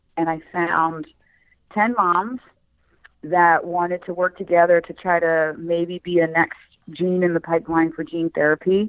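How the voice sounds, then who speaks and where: In a Philadelphia accent, a woman speaks at a fairly low pitch and a fairly slow pace. Her intonation is monotone and flat. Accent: Philadelphia American. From Philadelphia, US. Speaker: rare eye disease advocate and author. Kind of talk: interview.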